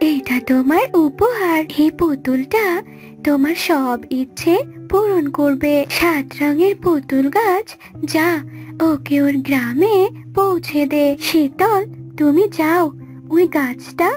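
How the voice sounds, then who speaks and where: A woman puts on a cartoonish character voice, high-pitched and very slow, with clear music playing in the background. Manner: soft, kindly.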